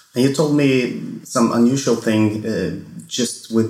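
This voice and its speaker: A man's fairly slow speech in a Swedish accent, with ordinary pitch variation and audible room echo. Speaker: wine podcast host. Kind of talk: casual monologue; interview.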